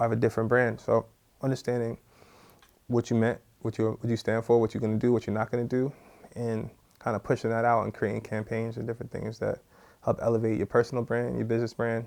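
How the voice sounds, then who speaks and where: A man at medium pitch with a New York accent, very fast pace, monotone, flat intonation and long, frequent pauses. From New York (born Trinidad and Tobago). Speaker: music industry executive. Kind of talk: interview. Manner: casual, filler-heavy.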